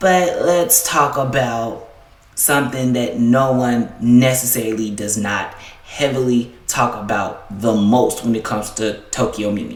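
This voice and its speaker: The speaker has an American accent and talks at a fairly slow pace. Background noise is noticeable. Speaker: anime YouTuber. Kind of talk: casual video commentary. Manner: casual, filler-heavy.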